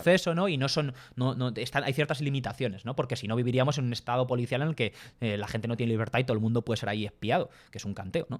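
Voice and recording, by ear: A man speaks fast with few pauses, at a medium pitch with ordinary pitch variation, on a very clean recording with a silent background.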